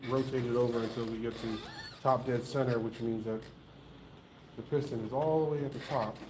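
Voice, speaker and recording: A man at medium pitch talks with fairly even intonation. Noticeable background noise and audible room echo are present. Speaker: small engine mechanic hosting a repair channel. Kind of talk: live-stream repair tutorial. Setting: live stream. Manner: slow.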